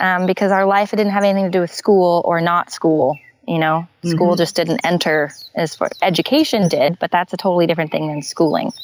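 A woman with a West Coast accent, fairly low pitch, fairly even intonation and a fairly quick pace. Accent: American West Coast. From Northern California and Hawaii. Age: 20s. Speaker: glass artist. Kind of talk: interview conversation.

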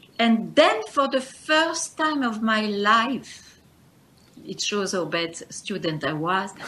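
Through noticeable background noise, a woman with a fairly high pitch speaks at a very slow pace, her pitch swinging very widely. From Belgium. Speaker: spiritual teacher. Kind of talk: interview. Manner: halting.

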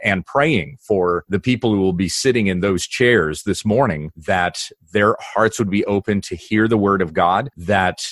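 The sound is dry and close with no echo as a man talks at a moderate pace in a fairly low pitch with ordinary pitch variation. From Kansas. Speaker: pastor. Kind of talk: casual interview. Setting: video call.

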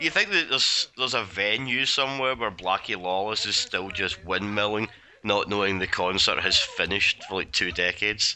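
The speaker has a Glaswegian accent and talks at a moderate pace with hardly any pauses. Pitch varies in an ordinary way, and there is noticeable background noise. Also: man, fairly low pitch for a man. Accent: Glaswegian Scottish. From Scotland, Glasgow. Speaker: movie commentary podcast guest. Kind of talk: casual group movie commentary. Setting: Skype call.

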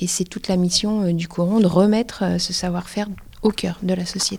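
With a dark, mellow tone, a woman speaks at a medium pitch and with fairly even intonation. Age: 40s. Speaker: project leader. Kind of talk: interview testimony.

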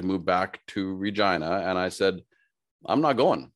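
A man speaks in a Canadian prairie accent. His pitch is fairly low, and the background is quiet. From Saskatchewan, Canada (Saskatoon). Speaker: HR consultant and business speaker. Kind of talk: casual interview.

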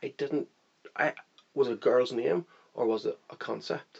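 A man talks with a Northern Irish accent. His pace is moderate. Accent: Northern Irish (Belfast). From Northern Ireland, Belfast. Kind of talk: interview testimony. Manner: hesitant, many fillers.

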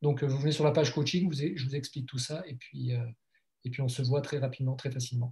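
A man's fairly high, somewhat breathy voice with a dark, mellow tone, fairly even intonation and a fairly quick pace with hardly any pauses. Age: 50s. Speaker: life coach and blogger. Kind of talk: interview. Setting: video call.

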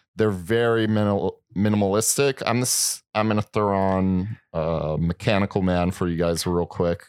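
With hardly any pauses, a man talks in an ordinary speaking voice at a fairly low pitch, with ordinary pitch variation and very even loudness, on a very clean recording with a silent background and a dry, close sound with no echo. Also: moderate pace. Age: 30s. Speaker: podcast co-host. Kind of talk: casual chat. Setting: studio.

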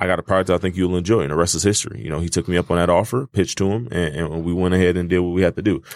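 A man speaks at a very fast pace with a very deep, low pitch. The recording is very clean, with a silent background. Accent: American. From Detroit, Michigan. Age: 20s. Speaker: food business owner. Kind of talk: casual interview.

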